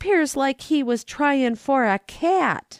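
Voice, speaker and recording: In a very clean recording with a silent background, a female-sounding put-on character voice, high-pitched and shrill, speaks at a very slow pace. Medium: read story. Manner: terse, monosyllabic.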